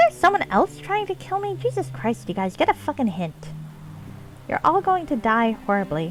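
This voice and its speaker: A shrill, put-on character voice comes at a moderate pace. Background noise is clearly audible. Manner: aggressive, trash-talking.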